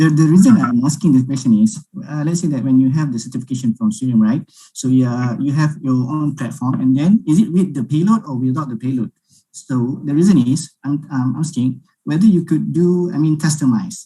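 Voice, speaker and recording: This man has a fairly high pitch and a dark, mellow tone. His voice sounds somewhat breathy. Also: ordinary pitch variation, fairly quick pace. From Malaysia. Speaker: webinar attendee. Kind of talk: webinar Q&A.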